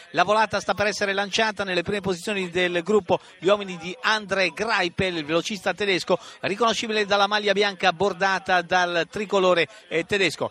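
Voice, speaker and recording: An animated man with a high pitch, a raised, projected voice and a fairly quick pace, in a dry, close sound with no echo, against noticeable background noise. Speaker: radio sports commentator. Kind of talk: live race commentary, radio call of a cycling sprint finish. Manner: animated, urgent, accelerating into the sprint with repeated name shouts; fast, rapid-fire, with distances and positions called out breathlessly.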